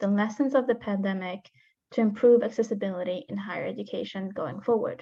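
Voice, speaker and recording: A somewhat breathy woman's voice with an American accent, fairly high in pitch, at a moderate pace with ordinary pitch variation. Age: 20s. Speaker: founder of a student organization. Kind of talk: presentation.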